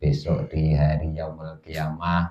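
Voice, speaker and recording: In a Javanese accent, a man speaks very slowly in a very deep, low pitch, with a dark, mellow tone and monotone, flat intonation. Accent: Javanese-accented Indonesian. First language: Javanese (speaking Indonesian). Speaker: Islamic religious teacher. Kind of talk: religious study lecture. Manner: halting, pausing to think.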